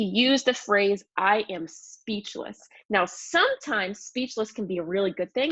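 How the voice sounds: A natural reading voice with ordinary pitch variation over a quiet background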